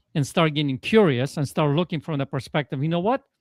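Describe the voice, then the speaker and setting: With a Polish accent, a man talks at a fairly quick pace in a fairly high pitch. His pitch varies in an ordinary way, and the sound is dry and close, with no echo. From Poland. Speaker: transformational coach. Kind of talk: podcast interview.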